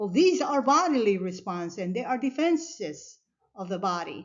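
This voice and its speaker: A woman at medium pitch, with lively intonation and a moderate pace. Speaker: anatomy instructor. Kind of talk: lecture. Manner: soft-spoken.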